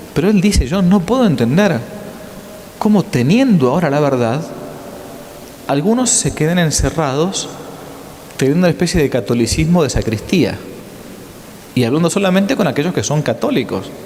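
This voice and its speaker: Very wide pitch swings at very even loudness, long, frequent pauses, audible room echo and noticeable background noise. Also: man, fairly high pitch for a man. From Argentina. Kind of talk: lecture. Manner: fast.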